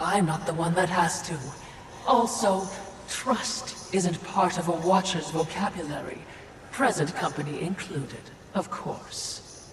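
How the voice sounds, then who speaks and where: A put-on character voice at a middle pitch and fairly slow pace, with clear echo and clear background noise. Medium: machinima. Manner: dry, snide.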